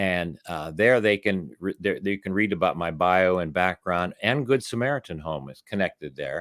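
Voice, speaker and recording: In a very clean recording with a silent background, a man's very deep, low voice comes through dry and close with no echo. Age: 70s. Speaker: author and rehabilitation worker. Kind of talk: interview. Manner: halting.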